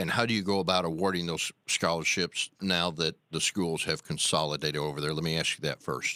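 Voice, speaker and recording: In an Arkansas accent, the speaker uses a bright, sharp tone at a moderate pace with fairly even intonation, the sound dry and close with no echo in a very clean recording with a silent background. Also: man. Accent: Southern US (Arkansas). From US South. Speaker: radio host. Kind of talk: radio interview.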